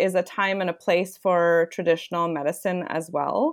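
With a Canadian accent, a woman speaks at a fairly slow pace in a medium pitch, using a normal speaking voice. The recording is very clean, with a silent background. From Toronto, Canada. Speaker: wellness entrepreneur. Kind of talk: interview conversation.

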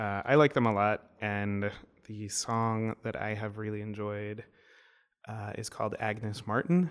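At a fairly slow pace, a plain, everyday voice with ordinary pitch variation comes through a very clean recording with a silent background. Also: man, fairly low pitch for a man. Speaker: podcast co-host. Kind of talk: casual chat.

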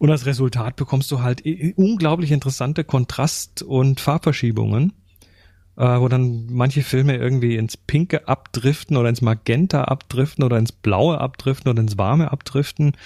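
A man with a medium pitch and a dark, mellow tone speaks somewhat breathily at very even loudness, in a very clean recording with a silent background and a dry, close sound with no echo. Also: ordinary pitch variation, moderate pace. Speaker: photography podcast co-host. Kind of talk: casual chat.

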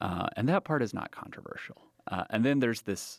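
The speaker is a man. His voice sounds dry and close, with no echo. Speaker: political researcher. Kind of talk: interview.

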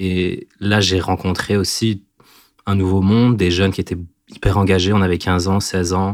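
Very deep and low, a man's voice holds a monotone, flat intonation at a moderate pace on a very clean recording with a silent background. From southern Belgium, near the Ardennes. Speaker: storyteller guest. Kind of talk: personal storytelling. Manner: hesitant, many fillers.

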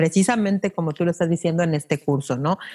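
A woman speaks in an ordinary speaking voice, fairly low in pitch with ordinary pitch variation. The sound is dry and close, with no echo. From Mexico City. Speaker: podcast teacher and broadcaster. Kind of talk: interview.

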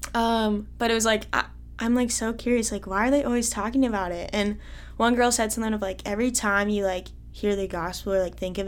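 Speaking fairly quickly in an American accent, a woman is heard with audible room echo. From Iowa. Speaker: college student. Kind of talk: testimony.

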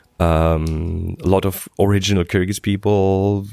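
A man speaks with a German accent. The sound is dry and close, with no echo. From Germany. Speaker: podcast host. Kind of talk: casual chat. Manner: halting, filler-heavy.

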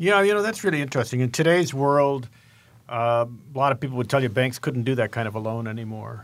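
A man's medium-pitched, very fast speech with lively intonation, on a very clean recording with a silent background. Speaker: co-host, angel investor. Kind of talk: interview.

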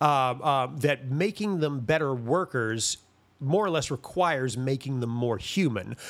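On a very clean recording with a silent background, a man with an American accent speaks fairly slowly at a medium pitch with lively intonation. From US South, Greensboro, North Carolina. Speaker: playwright. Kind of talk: interview. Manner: halting, many fillers.

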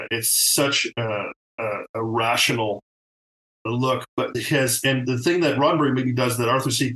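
At a moderate pace and medium pitch, a man speaks with fairly even intonation in an unremarkable speaking voice. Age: 50s. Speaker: TV art director. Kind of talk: casual chat.

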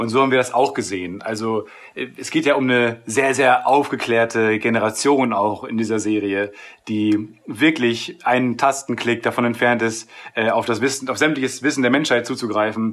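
Speaking at a moderate pace, a man with a medium pitch keeps his intonation fairly even on a very clean recording with a silent background. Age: 20s. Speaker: TV series screenwriter. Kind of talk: interview. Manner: halting, many filler sounds.

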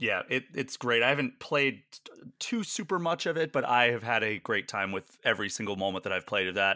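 A man with a bright, sharp, medium-pitched voice speaks fairly quickly with lively intonation and hardly any pauses, and the recording is very clean, dry and close, with a silent background and no echo. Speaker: podcast host. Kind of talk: casual interview chat.

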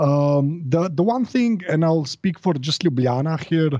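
Speaking with a Slovene accent, a man uses a dark, mellow tone and lively intonation at a fairly slow pace. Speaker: podcaster. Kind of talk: casual chat. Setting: remote call.

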